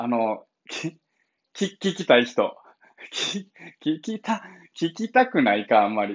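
In a Kansai accent, a man speaks at a fairly high pitch with very wide pitch swings over a quiet background. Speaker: blind founder of an advocacy group, livestreamer; livestreamer. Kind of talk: casual morning livestream monologue. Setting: live stream. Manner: casual, chatty with laughter. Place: home room. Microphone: phone near.

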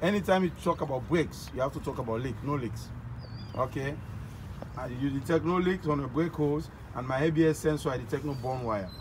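A man talking at a fairly quick pace, with noticeable background noise. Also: ordinary pitch variation. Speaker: truck driving inspection demonstrator. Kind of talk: tutorial. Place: street. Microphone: phone near.

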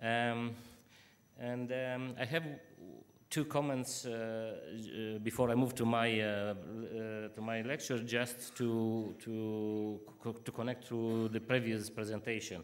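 A man speaks at a very slow pace with monotone, flat intonation. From Israel. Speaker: business consultant and lecturer; lecturer. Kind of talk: keynote presentation. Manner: halting. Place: hall.

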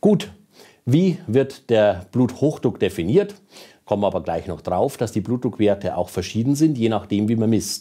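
Against a quiet background, a man with a Bavarian accent talks at a moderate pace in a dark, mellow tone with lively intonation. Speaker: cardiologist. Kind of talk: lecture. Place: studio. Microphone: lapel.

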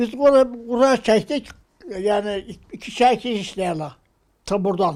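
Talking at a very slow pace, a man keeps to ordinary pitch variation. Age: 80s+. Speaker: Korean War veteran. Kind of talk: interview answer, war memories.

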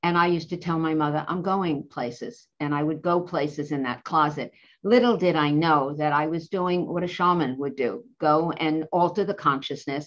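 Speaking at a moderate pace with hardly any pauses, a woman uses a very deep, low pitch and ordinary pitch variation. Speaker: psychologist and tarot creator; tarot creator. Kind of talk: interview. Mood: calm, reflective. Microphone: video call.

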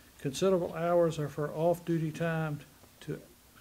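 Light background noise behind a male speaker. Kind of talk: formal reading of a resolution. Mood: solemn memorial tone. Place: meeting room.

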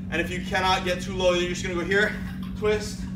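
Noticeable background noise is present. A man talks over it. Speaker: fitness trainer. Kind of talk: tutorial. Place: gym. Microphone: camera far.

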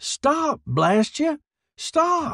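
A man shouts in a put-on character voice at an extremely high pitch, with big pitch swings. He goes at a very slow pace, with vocal fry. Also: fairly bright tone, very clean recording, silent background.

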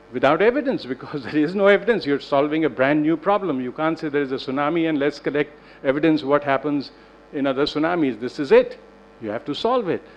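A man talking at a very fast pace, with ordinary pitch variation. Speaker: panelist. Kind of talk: panel discussion remarks. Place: hall. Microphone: podium.

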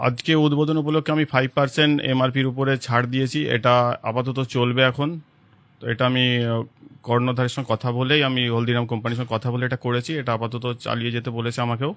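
An unremarkable speaking voice, a man at medium pitch with fairly even intonation. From Hooghly district, West Bengal. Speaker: shop owner. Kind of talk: interview.

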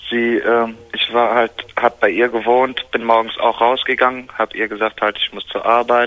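Noticeable background noise surrounds a man's voice. He speaks at a medium pitch and a fairly slow pace. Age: 20s. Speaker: caller. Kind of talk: phone call confession. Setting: phone call. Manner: halting.

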